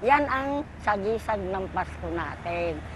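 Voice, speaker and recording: A cheerful tone comes through with audible room echo. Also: woman. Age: 60s. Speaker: street vendor. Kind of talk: elderly street vendor's warm interview testimony about her life and wishes. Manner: rambling, homely, with filler words and asides; cheerful, laughing.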